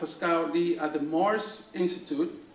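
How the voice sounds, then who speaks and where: A man speaks with a Spanish accent. Noticeable background noise and audible room echo surround his voice. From Dominican Republic. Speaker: school principal. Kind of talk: awards ceremony speech. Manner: halting, many fillers and repeats.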